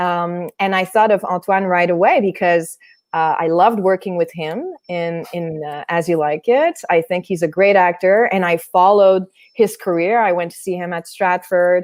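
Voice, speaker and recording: With a Quebec accent, a woman of medium pitch speaks at a moderate pace in a fairly even intonation. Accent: Québécois French-accented English. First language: French. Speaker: theatre artist. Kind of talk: interview conversation. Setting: online stream.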